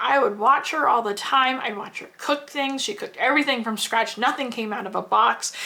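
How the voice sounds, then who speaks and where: Over noticeable background noise, a woman with an American accent sounds animated, her high voice showing ordinary pitch variation. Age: 40s. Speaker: homesteader. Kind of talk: personal storytelling.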